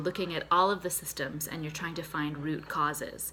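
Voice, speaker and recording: A woman talks at a fairly quick pace with a slight Boston accent. Her intonation stays fairly even. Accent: slight Boston accent on a few words. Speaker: therapist and mental health nutritionist. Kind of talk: health tutorial to camera. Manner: conversational, casual.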